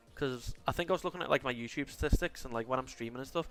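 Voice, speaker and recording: With music in the background, a man talks at a very fast pace in a strong Scouse accent. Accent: strong Liverpool (scouse). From Liverpool, England. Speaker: video game streamer. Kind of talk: casual chat while livestreaming a game. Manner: tries to sound posher. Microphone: current mic sounds bad, new one coming.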